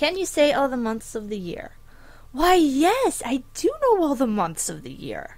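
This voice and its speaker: A woman speaks fairly slowly at a high pitch with an American accent. Her loudness swings widely. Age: 20s. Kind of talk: casual accent tag reading. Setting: home desk recording.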